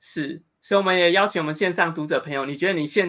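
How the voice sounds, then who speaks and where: Over a quiet background, a man talks at a very fast pace. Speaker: interviewer. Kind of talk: interview. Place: home room.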